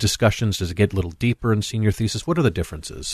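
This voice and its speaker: With an American accent and fairly low pitch, a man speaks in a normal speaking voice, the sound dry and close with no echo over a quiet background. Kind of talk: radio talk show chat.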